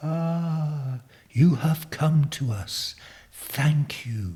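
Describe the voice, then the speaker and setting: In a put-on character voice, a soft-spoken man talks very slowly at a fairly high pitch. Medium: read story. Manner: soft, hushed.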